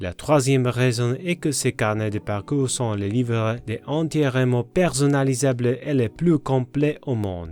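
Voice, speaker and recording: Recorded very cleanly against a silent background, a man with a non-native accent and a medium pitch speaks at a fairly slow pace with hardly any pauses and ordinary pitch variation. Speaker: golf psychology coach and author. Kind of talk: sales pitch.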